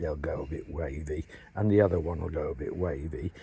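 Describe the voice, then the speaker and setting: Against a quiet background, a man with an English accent speaks in a dark, mellow tone with vocal fry. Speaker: beekeeper and hive maker. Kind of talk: tutorial. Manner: halting, many fillers and repeats.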